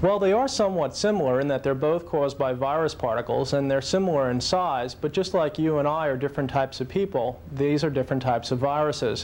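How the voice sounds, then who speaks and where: A man speaks at a fairly quick pace with ordinary pitch variation over noticeable background noise. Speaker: physician. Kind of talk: interview answer.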